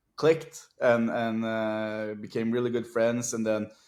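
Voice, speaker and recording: On a very clean recording with a silent background, a man with a Norwegian accent speaks at a medium pitch. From Norway. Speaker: music producer and DJ. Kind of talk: podcast interview.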